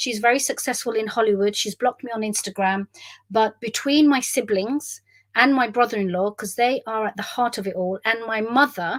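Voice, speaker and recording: In a London accent, a woman speaks at a moderate pace and fairly high pitch. Her intonation is fairly even, and the sound is dry and close with no echo. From South West London. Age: 50s. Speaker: memoirist. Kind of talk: monologue. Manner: stream of consciousness.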